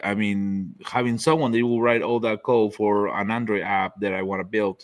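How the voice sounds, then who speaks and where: A man with a non-native accent, fairly low in pitch, at a moderate pace with ordinary pitch variation. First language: not English. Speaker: laser accessory maker. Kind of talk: casual chat.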